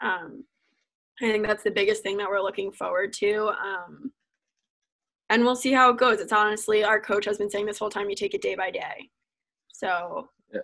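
Intonation stays fairly even in this bright, sharp voice, which moves at a moderate pace broken by long, frequent pauses. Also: woman, fairly high pitch for a woman. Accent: American. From US Northeast, New Jersey. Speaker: college ice hockey player. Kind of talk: casual interview.

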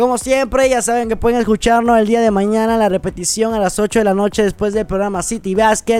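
A man with a high pitch talks at a fairly quick pace in a monotone, flat intonation, with hardly any pauses. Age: 20s. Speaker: radio host. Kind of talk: radio show hosting.

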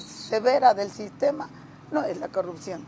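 Lively female intonation, with background noise clearly present. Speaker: local political leader of a social organization. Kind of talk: interview.

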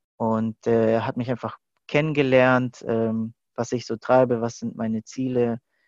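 In a dry, close sound with no echo, a man speaks at a very slow pace in a monotone, flat intonation. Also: quiet background. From Germany, Stuttgart. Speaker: youth leader and film student. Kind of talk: interview. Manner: hesitant, many fillers.

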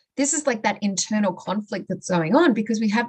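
A woman with an Australian accent speaks at a moderate pace in a fairly high, somewhat breathy voice with lively intonation. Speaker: mindset coach. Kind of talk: casual interview.

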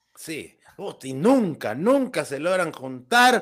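A man with a Guatemalan accent. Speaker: comedy podcast host. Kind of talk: casual chat.

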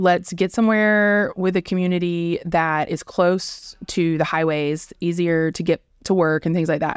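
A woman's fairly low-pitched, ordinary speaking voice with an American accent, fairly even intonation and a fairly slow pace with hardly any pauses, on a very clean recording over a silent background. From US South, South Georgia. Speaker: corporate communications manager. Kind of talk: casual interview.

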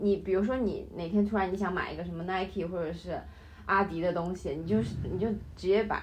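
Over audible room echo, a woman talks fairly quickly at a medium pitch with ordinary pitch variation. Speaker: international student. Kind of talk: casual chat.

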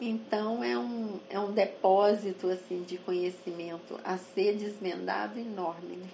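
Against noticeable background noise, a woman speaks at a fairly slow pace with hardly any pauses. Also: medium pitch for a woman, ordinary pitch variation. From Brazil, interior of Minas Gerais (Araxá region). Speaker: retired professor and researcher. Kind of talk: oral history interview.

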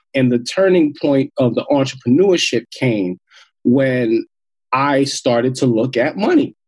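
A man with an American accent speaks in a normal speaking voice at a fairly slow pace. The sound is dry and close with no echo, and his loudness stays very even. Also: medium pitch for a man, ordinary pitch variation. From Queens, New York. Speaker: social entrepreneur and hip hop artist. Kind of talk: interview.

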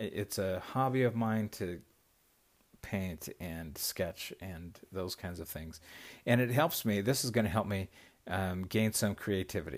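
In a very clean recording with a silent background, an unremarkable speaking voice moves at a fairly slow pace with ordinary pitch variation. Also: man, fairly low pitch for a man. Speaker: podcast host. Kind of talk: casual monologue. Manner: rambling, laughing often.

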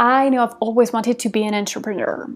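Intonation stays fairly even in an unremarkable speaking voice. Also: woman. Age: 20s. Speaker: podcast host. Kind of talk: casual monologue.

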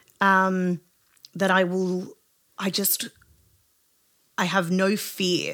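A woman speaks in a medium pitch with an Australian accent. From Australia, southwest Sydney. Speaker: singer-songwriter. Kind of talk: casual interview chat. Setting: home studio.

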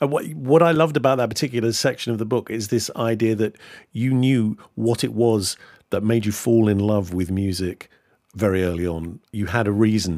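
In a very clean recording with a silent background, a man speaks in an unremarkable speaking voice at a moderate pace and fairly low pitch, with ordinary pitch variation. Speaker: podcast host. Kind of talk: podcast interview chat.

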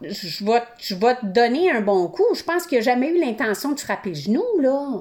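Her voice is high, with very wide pitch swings, at a fairly slow pace. Noticeable background noise runs under the woman's speech. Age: 50s. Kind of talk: casual chat.

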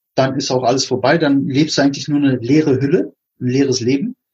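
A man speaks at a fairly quick pace with a fairly high pitch. His voice is somewhat breathy. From Berlin, Germany. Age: 40s. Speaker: podcast host. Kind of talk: casual interview chat.

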